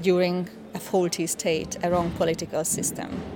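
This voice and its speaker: A woman with a Hungarian accent speaks at a fairly slow pace. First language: Hungarian (speaking German). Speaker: cultural scholar. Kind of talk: interview.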